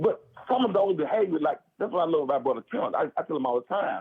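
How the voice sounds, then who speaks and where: Loud and very fast, a man speaks in a high-pitched voice with lively intonation. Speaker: former prisoner. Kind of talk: casual chat.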